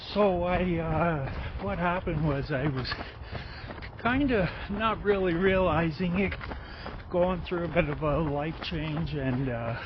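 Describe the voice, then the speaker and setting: Amid noticeable background noise and audible room echo, a man speaks very slowly in a high pitch with lively intonation. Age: 50s. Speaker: runner with Parkinson's disease. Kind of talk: casual chat while running. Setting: outdoors, running.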